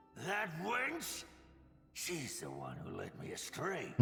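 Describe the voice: Clear background noise sits behind a raspy, put-on character voice that moves at a very slow pace. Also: man, high pitch for a man.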